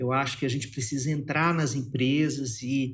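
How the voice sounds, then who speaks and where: Speaking fairly slowly, a man uses a medium pitch with fairly even intonation. His voice is somewhat breathy. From Minas Gerais, Brazil. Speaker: psychologist and writer. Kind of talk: interview conversation.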